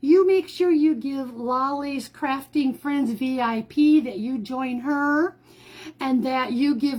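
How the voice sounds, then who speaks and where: A woman speaks very slowly in a warm tone at a high pitch. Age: 60s. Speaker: crafting livestreamer. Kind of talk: live craft tutorial with chat. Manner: chatty, warm.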